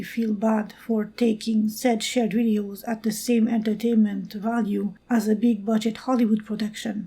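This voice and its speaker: At a moderate pace and with hardly any pauses, a woman with a non-native accent speaks in a fairly high, somewhat breathy voice with a dark, mellow tone and monotone, flat intonation. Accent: non-native, noted. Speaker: amateur storyteller. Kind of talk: read original story.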